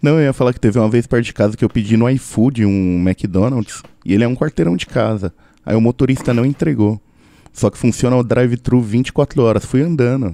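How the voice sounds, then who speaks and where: This man talks at a fairly quick pace with a medium pitch and ordinary pitch variation. His tone is dark and mellow, and the sound is dry and close with no echo. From Brazil, São Paulo. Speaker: podcaster. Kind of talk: casual chat.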